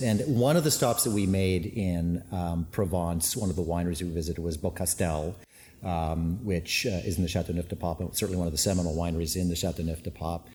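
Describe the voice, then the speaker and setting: A man talks at a very fast pace with hardly any pauses and ordinary pitch variation. His very deep, low voice is dark, mellow and somewhat breathy. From USA, moved from Canada at age five. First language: Finnish. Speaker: winemaker and winery owner. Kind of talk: casual interview. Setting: winery tank room. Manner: hesitant, many fillers.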